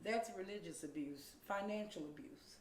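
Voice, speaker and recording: A woman's speech, with ordinary pitch variation, carries audible room echo. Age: 50s. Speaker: domestic violence advocate. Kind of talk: interview.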